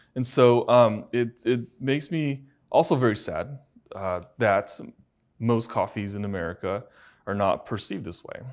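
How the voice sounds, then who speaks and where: A man with a Chinese accent at a medium pitch, ordinary pitch variation, a moderate pace and big swings in loudness, on a very clean recording with a silent background. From China. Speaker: functional medicine doctor, interviewer. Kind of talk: interview. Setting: conference venue.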